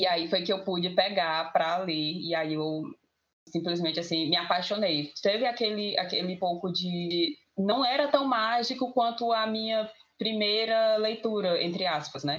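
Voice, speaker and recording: A woman with a normal speaking voice, lively intonation and a fairly slow pace. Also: medium pitch for a woman. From Itapajé, Ceará, Brazil. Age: 20s. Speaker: podcast panelist. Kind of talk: casual group discussion.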